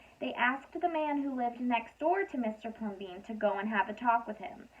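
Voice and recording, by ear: A woman's fairly high voice with lively intonation at a moderate pace.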